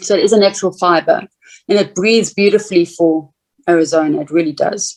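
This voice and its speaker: A woman at medium pitch, very fast, with ordinary pitch variation. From South Africa. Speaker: clothing designer and boutique owner. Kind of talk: interview answer.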